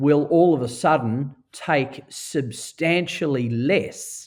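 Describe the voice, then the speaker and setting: This man has a fairly high pitch and an Australian accent. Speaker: auctioneer and real estate director. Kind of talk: podcast interview answer.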